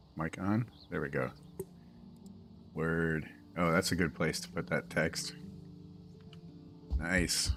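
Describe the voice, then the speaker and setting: Over music in the background, a man with a very deep, low pitch speaks at a very slow pace with ordinary pitch variation and long, frequent pauses. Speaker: streamer and mod developer. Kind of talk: casual live stream chat. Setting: live stream at home. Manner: relaxed, meandering.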